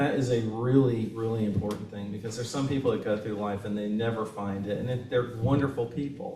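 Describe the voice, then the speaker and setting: With noticeable background noise behind him, a man speaks fairly quickly at a medium pitch, his intonation fairly even and hardly any pauses. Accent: Southern US. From Kentucky, Lexington. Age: 60s. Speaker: author. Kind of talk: Q&A discussion at a book reading. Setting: bookstore event with audience.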